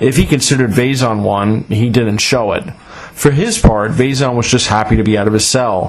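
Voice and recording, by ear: Someone is reading aloud in a natural voice. That is all that comes through.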